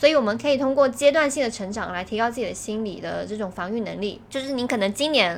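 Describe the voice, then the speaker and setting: At a fairly quick pace, a woman talks in a normal speaking voice with ordinary pitch variation. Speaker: podcast co-host. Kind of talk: casual chat.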